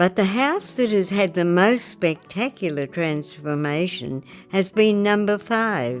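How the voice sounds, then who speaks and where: Over music in the background, a woman with medium pitch speaks at a fairly slow pace, her intonation lively and her loudness very even. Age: 80s+. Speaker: actress, former drama teacher. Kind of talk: documentary narration. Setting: studio.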